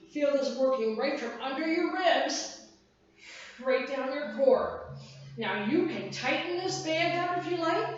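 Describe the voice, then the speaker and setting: An energetic woman's voice with lively intonation, amid audible room echo and noticeable background noise. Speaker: fitness instructor. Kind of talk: workout class instruction. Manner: energetic counting cues.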